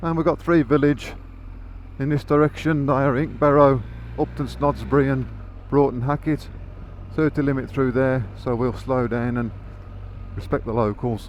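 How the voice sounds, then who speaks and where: The speaker has a Birmingham accent and fairly even intonation. The pace is moderate, with long, frequent pauses. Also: man. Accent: Birmingham area. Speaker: motorcycle vlogger. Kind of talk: motorcycle ride commentary. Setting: on a motorcycle on the road.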